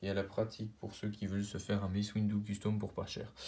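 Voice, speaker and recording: The speaker sounds somewhat breathy and keeps a moderate pace. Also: man. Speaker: YouTuber, toy collector. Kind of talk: collection showcase video. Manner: halting, many fillers.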